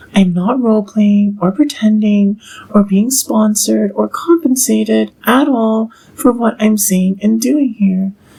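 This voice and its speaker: A woman speaks at a fairly slow pace in a fairly high voice, with ordinary pitch variation, very even loudness and noticeable background noise. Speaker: video blogger. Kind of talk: personal monologue. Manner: articulate.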